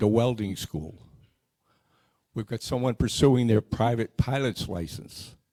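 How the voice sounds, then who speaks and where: With a dark, mellow tone at a medium pitch, a man talks at a fairly slow pace in a dry, close sound with no echo. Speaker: scholarship committee member. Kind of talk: community meeting presentation. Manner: halting, with frequent repeats.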